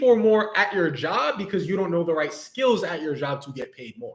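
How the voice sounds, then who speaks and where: This speaker has a New York accent and an animated tone. The pace is moderate, and the pitch swings very widely. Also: man. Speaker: business coach. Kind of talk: livestream talk. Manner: casual, animated.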